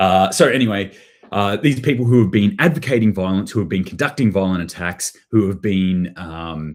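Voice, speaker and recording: This man's fairly low voice carries lively intonation. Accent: Australian. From Australia. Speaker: prepping channel host. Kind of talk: livestream commentary on news. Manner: casual, with many fillers.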